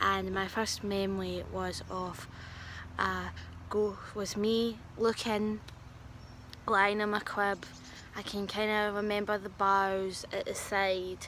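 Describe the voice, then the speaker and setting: A soft-spoken woman talks at a very slow pace. Her speech has long, frequent pauses. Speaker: vlogger who says she is a medium. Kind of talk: casual storytelling vlog. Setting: outdoors in a garden. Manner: quiet, soft-spoken; hesitant with fillers.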